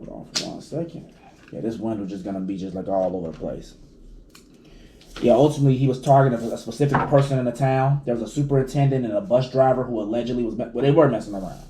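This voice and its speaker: Audible room echo surrounds a man speaking at a very fast pace with big swings in loudness. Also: medium pitch for a man, ordinary pitch variation. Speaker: video blogger. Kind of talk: casual chat. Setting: at home.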